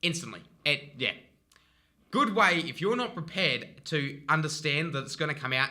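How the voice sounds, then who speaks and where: With an Australian accent, a man talks at a fairly high pitch with lively intonation. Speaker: relationship advice vlogger. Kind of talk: casual advice monologue. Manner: animated; fast.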